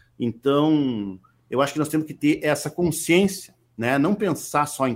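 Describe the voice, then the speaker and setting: A man's fairly high-pitched voice with lively intonation, at a fairly slow pace, in a very clean recording with a silent background. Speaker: regional musician and singer-songwriter. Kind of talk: interview. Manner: halting, with frequent repetitions.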